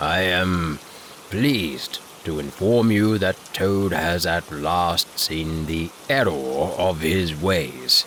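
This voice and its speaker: A man's put-on character voice, very deep and low in pitch, at a very slow pace with clear background noise. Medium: read story. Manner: solemn, measured.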